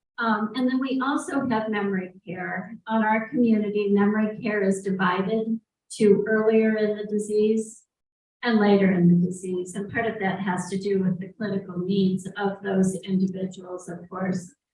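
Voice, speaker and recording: A woman's somewhat breathy voice at medium pitch, with fairly even intonation and a moderate pace. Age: 60s. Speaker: senior living community representative. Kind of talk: panel discussion. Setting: live event with audience in the room.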